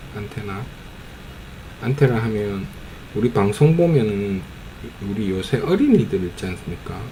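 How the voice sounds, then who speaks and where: A man with a strong Gyeongsang accent talks at a fairly low pitch with lively intonation, big swings in loudness and long, frequent pauses. Audible room echo and noticeable background noise fill the recording. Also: fairly slow pace. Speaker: amateur YouTuber commenting on videos. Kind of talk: casual commentary on a film. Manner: casual, hesitant with fillers.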